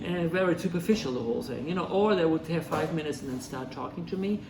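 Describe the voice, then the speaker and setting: A man with a German accent talks at a fairly quick pace with lively intonation. Audible room echo and noticeable background noise surround him. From Germany (Ruhr area). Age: 60s. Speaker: restaurant owner. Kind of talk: interview.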